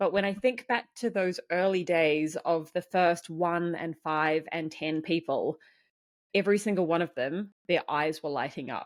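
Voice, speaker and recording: A woman in a New Zealand accent, fairly low-pitched and fairly slow, with ordinary pitch variation on a very clean recording with a silent background. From New Zealand, small farming town. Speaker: community founder. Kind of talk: podcast interview.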